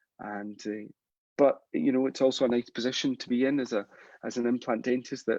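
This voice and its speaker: A man's monotone, flat delivery with a Scottish accent at a fairly quick pace, dry and close with no echo. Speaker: implant dentist. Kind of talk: live stream Q&A, advice to a junior dentist. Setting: live stream. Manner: hesitant, many repetitions and fillers.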